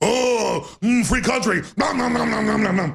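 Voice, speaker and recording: A man performs a put-on character voice. His pitch sits high. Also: moderate pace. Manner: mocking.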